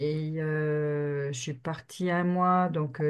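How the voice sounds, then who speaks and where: Against a quiet background, a woman speaks at a very deep, low pitch with ordinary pitch variation. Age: 50s. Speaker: team member, new saleswoman. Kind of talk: casual group video call. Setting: video call.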